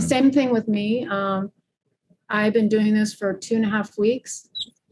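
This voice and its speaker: A woman's fairly high, somewhat breathy voice. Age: 60s. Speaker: fascia practitioner and gymnast. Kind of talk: casual chat.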